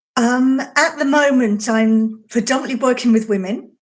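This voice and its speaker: In a very clean recording with a silent background, a woman speaks with a fairly high, somewhat breathy voice and fairly even intonation. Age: 60s. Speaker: intuitive healer and author. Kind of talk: casual chat.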